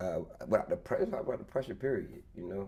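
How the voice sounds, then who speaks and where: A man talks at a fairly quick pace in a Baltimore accent. His tone is dark and mellow, and somewhat breathy. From Baltimore, US. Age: 30s. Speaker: former corporate employee, entrepreneur. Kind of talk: casual interview chat. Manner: halting, repeats words.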